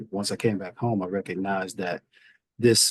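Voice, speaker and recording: A man with a Southern US accent speaks in a fairly low pitch with monotone, flat intonation. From US Midwest, Fort Wayne, Indiana. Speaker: government official, Marine veteran. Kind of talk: interview.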